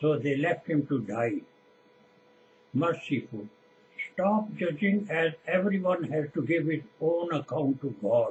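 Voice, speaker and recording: A man with a Punjabi accent speaks fairly high and fairly slowly, with lively intonation, very even loudness, and long, frequent pauses. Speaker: preacher. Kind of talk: sermon.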